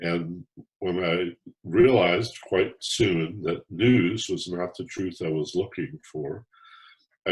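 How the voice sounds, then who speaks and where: Somewhat breathy delivery at a very slow pace. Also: man. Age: 70s. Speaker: author and former talk radio host. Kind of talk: interview. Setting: podcast interview.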